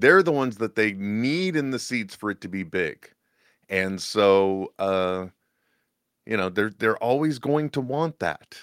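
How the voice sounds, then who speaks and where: An ordinary speaking voice moves at a fairly slow pace with lively intonation, recorded dry and close with no echo on a very clean recording with a silent background. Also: man, fairly low pitch for a man. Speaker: co-host. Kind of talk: casual chat.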